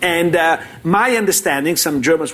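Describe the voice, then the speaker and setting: A man speaks fairly quickly with an Italian accent. His pitch is fairly high, with ordinary pitch variation. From Italy. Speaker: finance professor. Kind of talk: panel discussion. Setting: stage with live audience.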